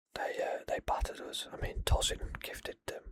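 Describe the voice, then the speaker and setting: A man whispering in a calm tone. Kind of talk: ASMR football predictions talk. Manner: whispered, calm.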